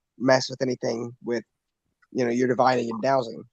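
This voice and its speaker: The speaker is a man. He has an American accent. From US Midwest, Indiana. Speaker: online show host. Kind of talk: interview.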